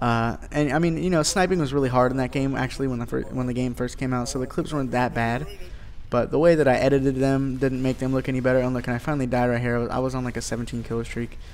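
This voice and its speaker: Intonation stays fairly even as a man speaks very fast. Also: medium pitch for a man. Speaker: gaming YouTuber. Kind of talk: gameplay commentary.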